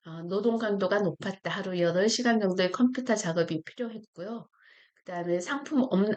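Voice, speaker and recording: A woman speaks at a moderate pace in a medium pitch. Her pitch variation is ordinary. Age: 60s. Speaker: retired YouTuber, former online seller. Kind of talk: casual vlog talk. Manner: halting, with fillers and self-corrections.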